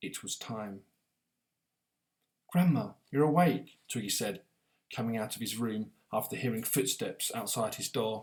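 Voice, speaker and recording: A man talks at a moderate pace and a medium pitch. His pitch varies in an ordinary way. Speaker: author. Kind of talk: audiobook reading.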